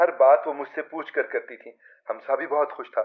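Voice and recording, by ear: Speaking at a moderate pace, a man talks.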